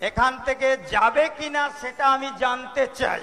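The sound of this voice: Using a put-on character voice, a man speaks with an extremely high pitch and a bright, sharp tone. The pace is moderate and the pitch variation ordinary.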